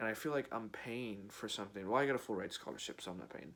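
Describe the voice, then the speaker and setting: Ordinary pitch variation in a fairly low male voice. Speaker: philosophy youtuber, college student. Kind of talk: casual monologue. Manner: halting, many fillers.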